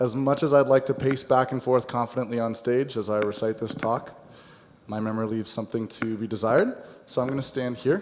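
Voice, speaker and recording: Using a normal speaking voice, a man talks at a medium pitch with fairly even intonation and a fairly quick pace. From United States. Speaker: software account manager. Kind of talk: conference presentation. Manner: light-hearted, humorous.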